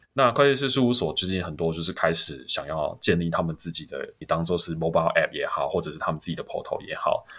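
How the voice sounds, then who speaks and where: With a slight Taiwanese accent, the speech comes at a very fast pace with hardly any pauses. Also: man. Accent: Taiwanese Mandarin, slightly off. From Taiwan (born Hong Kong). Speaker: startup co-founder and COO. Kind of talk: interview. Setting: remote online recording.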